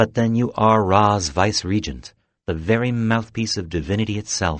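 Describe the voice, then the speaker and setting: Putting on a character voice, a man speaks softly and breathily at a moderate pace in a fairly low voice. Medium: read story. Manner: sighing, melancholy.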